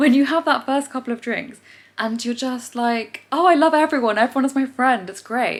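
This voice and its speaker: In an English accent, a woman speaks with a high pitch, an animated tone and ordinary pitch variation. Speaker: vlogger and amateur athlete. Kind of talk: casual vlog. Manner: fast.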